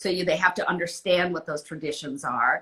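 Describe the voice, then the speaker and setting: This woman has an unremarkable speaking voice, pitched fairly low. Her intonation stays fairly even. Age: 60s. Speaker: author. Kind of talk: interview. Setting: live video call.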